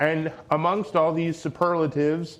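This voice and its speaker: A man at a moderate pace, an unremarkable speaking voice with fairly high pitch. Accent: Canadian. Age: 30s. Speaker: mental health advocate. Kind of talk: speech.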